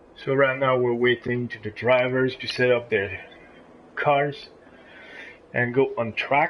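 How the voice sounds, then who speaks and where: A man speaks with fairly even intonation and long, frequent pauses. Background noise is noticeable. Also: medium pitch for a man, fairly slow pace. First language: not English. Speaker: race commentator. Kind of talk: live commentary. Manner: halting.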